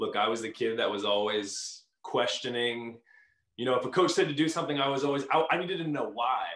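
Lively intonation and a fairly high pitch carry this man's voice. He moves at a fairly quick pace in audible room echo. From California. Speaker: professional volleyball player. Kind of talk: casual interview.

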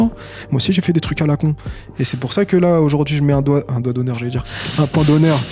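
There is music in the background as a man speaks. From Tunisia. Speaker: rapper. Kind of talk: casual chat.

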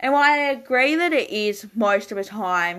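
A woman with an Australian accent talks at a moderate pace with lively intonation. The recording is very clean, with a silent background. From Tasmania, Australia. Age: 20s. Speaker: podcast host. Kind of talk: solo podcast Q&A monologue.

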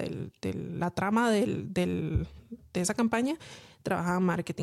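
A woman speaks in an ordinary speaking voice. Her pitch is medium, with ordinary variation. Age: 30s. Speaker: podcast co-host. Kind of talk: casual chat.

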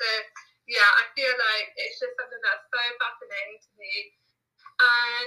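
Speaking at a moderate pace, a woman talks with a southern England accent. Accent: British English, southern England. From England, near London. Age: 20s. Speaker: self-care blogger and employment advisor. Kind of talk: casual interview chat.

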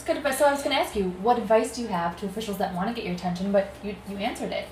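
A woman with a fairly high pitch and lively intonation talks at a very fast pace over noticeable background noise. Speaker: guest interviewer and co-host. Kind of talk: casual interview chat.

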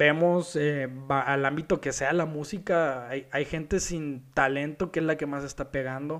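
An unremarkable speaking voice belongs to a man, fairly high in pitch with fairly even intonation. The recording is very clean, with a silent background. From Mexico, Culiacán (Sinaloa). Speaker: architect and podcast host. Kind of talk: solo podcast talk.

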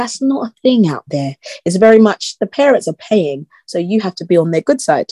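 A woman with a South London accent, medium in pitch, at a moderate pace with very wide pitch swings. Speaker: guest who lived in UAE. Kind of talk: casual interview chat.

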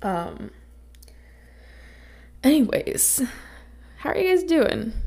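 A woman speaks at a very slow pace in a high, raspy voice. Her tone is dark and mellow, with big pitch swings.

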